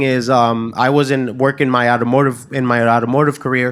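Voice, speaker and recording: A man's normal speaking voice with an American accent, medium pitch, fairly even intonation, and a fairly quick pace. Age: 30s. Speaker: realtor. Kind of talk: casual chat.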